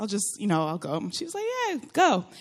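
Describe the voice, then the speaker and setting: Against a quiet background, a woman with an American accent talks in an animated tone at a fairly quick pace. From Florida. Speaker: churchgoer sharing testimony. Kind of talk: testimony.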